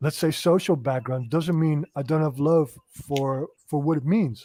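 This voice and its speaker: The man's pitch sits fairly high, with ordinary variation, and the sound is dry and close with no echo. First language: not English. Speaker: comic book creator. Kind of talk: casual interview chat.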